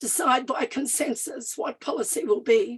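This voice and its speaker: With lively intonation, this woman talks in a high pitch. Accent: Australian. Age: 60s. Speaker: First Nations activist and party official. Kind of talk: panel talk. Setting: live event with audience and online. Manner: some hesitations and restarts.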